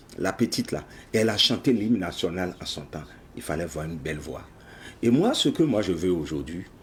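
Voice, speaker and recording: A man with a very deep, low pitch speaks at a moderate pace, leaving long, frequent pauses. His intonation is lively and his voice somewhat breathy. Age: 60s. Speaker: project founder, patriotic education advocate. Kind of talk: TV interview.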